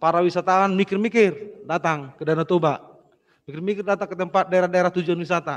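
Here a man talks at a very fast pace in a high voice. His intonation stays fairly even. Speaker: regional tourism official. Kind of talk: presentation.

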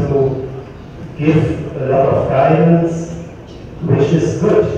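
Heard through strong room echo and light background noise, a man speaks at a very slow pace with fairly even intonation. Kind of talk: workshop speech. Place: hall.

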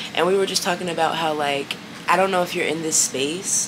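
Over noticeable background noise, a woman with a very deep, low pitch talks at a very fast pace with fairly even intonation. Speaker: vlogger. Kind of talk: casual vlog chat. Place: street. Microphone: phone near.

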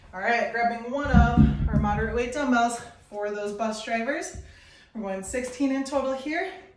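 Audible room echo follows words delivered at a very slow pace. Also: woman. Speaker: fitness instructor. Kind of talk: workout instruction and counting. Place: home room. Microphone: camera far.

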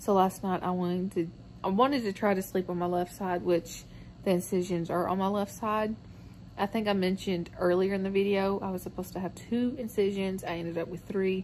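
A woman at a fairly quick pace with fairly even intonation, over light background noise. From US South. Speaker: vlogger. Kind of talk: video blog about surgery. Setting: at home and in car, hospital. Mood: tired, relaxed recovery talk. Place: home room.

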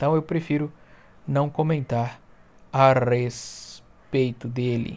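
A man speaks at a medium pitch and a very slow pace, with long, frequent pauses. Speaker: phone repair youtuber. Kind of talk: tutorial. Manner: animated.

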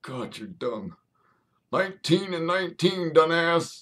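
A high-pitched put-on character voice from a man, at a fairly slow pace. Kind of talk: comedy ventriloquist routine. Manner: gruff, insulting.

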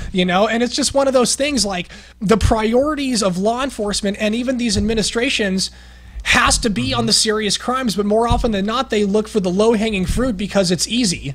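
Delivery is fairly quick, and the pitch varies in an ordinary way. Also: man, high pitch for a man. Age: 30s. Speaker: radio co-host. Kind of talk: casual chat. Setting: studio. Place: studio. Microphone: studio mic.

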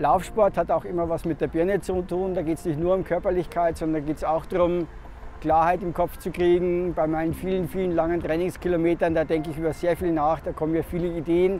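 Over light background noise in a dry sound with no echo, a man talks at a fairly quick pace with a high pitch and monotone, flat intonation. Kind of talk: interview answer. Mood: hopeful, confident. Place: waterside.

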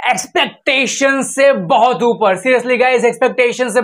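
In a very clean recording with a silent background, a man with an extremely high pitch talks at a fairly slow pace, his intonation monotone and flat. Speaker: YouTube film and song reviewer. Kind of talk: reaction video.

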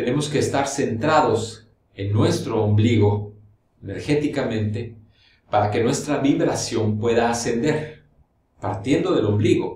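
A man at a fairly slow pace, ordinary pitch variation, audible room echo. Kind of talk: explanatory talk to camera. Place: studio.

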